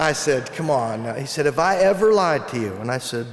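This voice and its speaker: The speech moves at a fairly quick pace with ordinary pitch variation. Noticeable background noise sits behind it. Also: man. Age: 60s. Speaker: psychologist and keynote speaker. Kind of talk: keynote speech. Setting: conference stage with audience.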